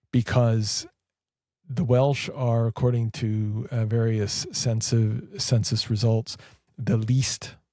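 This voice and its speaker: A man's dark, mellow, somewhat breathy voice at medium pitch with a Canadian accent, very slow pace and fairly even intonation. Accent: Canadian accent, noticeable in Wales. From Canada. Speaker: Orthodox priest. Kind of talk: interview conversation. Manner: hesitant, many fillers.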